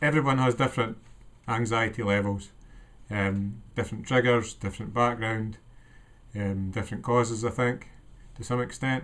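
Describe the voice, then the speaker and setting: The speaker is a man with a Scottish accent. His intonation stays fairly even. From Scotland. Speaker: vlogger sharing personal anxiety story. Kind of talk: personal testimony monologue. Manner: hesitant, many ums.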